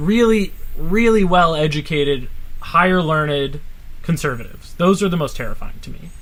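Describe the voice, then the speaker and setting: In audible room echo, a high-pitched man with an American accent speaks at a moderate pace, with ordinary pitch variation and big swings in loudness. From North Carolina, Charlotte. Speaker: artist and adventurer. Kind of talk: casual podcast conversation.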